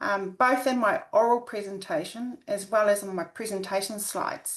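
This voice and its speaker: A woman with a New Zealand accent at a moderate pace. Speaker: academic researcher. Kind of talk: webinar presentation. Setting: video call. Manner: halting, many fillers.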